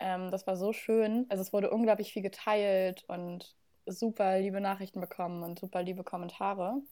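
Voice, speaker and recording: Monotone, flat intonation marks a woman's dark, mellow tone. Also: medium pitch for a woman, moderate pace. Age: 20s. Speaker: portrait photographer. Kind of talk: casual interview chat.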